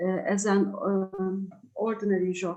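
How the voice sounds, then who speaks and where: A woman with a Turkish accent. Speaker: craft writer. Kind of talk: presentation. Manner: halting.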